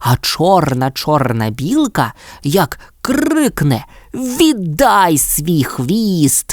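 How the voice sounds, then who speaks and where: A man puts on a character voice, speaking at a very slow pace in a high pitch. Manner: shouting loudly.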